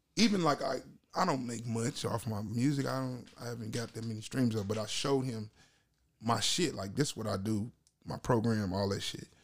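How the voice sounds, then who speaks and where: Using an ordinary speaking voice, a man talks fairly quickly at a medium pitch, his pitch variation ordinary. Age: 30s. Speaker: guest rapper and producer. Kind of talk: casual banter.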